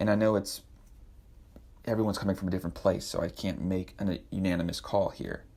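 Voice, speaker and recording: A man with a raspy, dark, mellow voice of fairly low pitch speaks at a very fast pace with fairly even intonation and long, frequent pauses. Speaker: podcast host. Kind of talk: devotional podcast talk.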